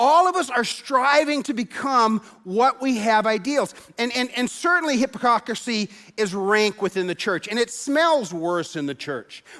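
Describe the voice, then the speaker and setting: A raised, projected voice with a bright, sharp tone and lively intonation comes at a moderate pace on a very clean recording with a silent background. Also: man, extremely high pitch for a man. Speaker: pastor. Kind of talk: sermon. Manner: animated.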